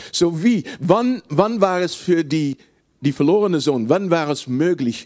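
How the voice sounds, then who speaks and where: Using lively intonation, a man with a fairly high pitch speaks at a fairly slow pace. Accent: Dutch. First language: Dutch (speaking German). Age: 60s. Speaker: preacher. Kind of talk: sermon. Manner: halting.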